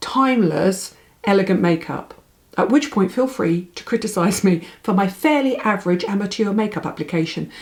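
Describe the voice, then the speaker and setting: A woman's somewhat breathy voice at medium pitch and a moderate pace. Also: ordinary pitch variation. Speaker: beauty vlogger. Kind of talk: tutorial.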